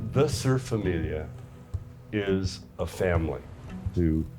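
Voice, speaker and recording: With music in the background, a man with a very deep, low pitch speaks at a very slow pace, his pitch swinging very widely. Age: 70s. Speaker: surfer. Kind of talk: documentary interview answer.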